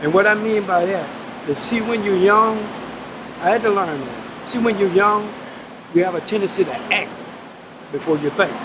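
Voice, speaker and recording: A man with a Louisiana accent speaks at a moderate pace in a high voice, his pitch rising and falling in an ordinary way, with long, frequent pauses and noticeable background noise. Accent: Southern US (Louisiana). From South Baton Rouge, Louisiana. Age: 60s. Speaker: prison inmate serving life sentence. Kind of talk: interview answer.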